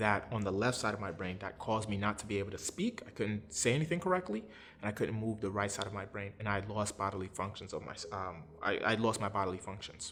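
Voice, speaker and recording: In a New York accent, a man talks at a fairly quick pace with a fairly low pitch. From Brooklyn, New York. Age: 30s. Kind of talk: interview answer. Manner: conversational, personal storytelling.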